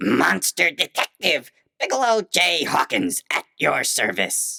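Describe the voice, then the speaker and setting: In a put-on character voice, the speaker sounds raspy and gravelly, moving at a fairly slow pace. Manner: proud.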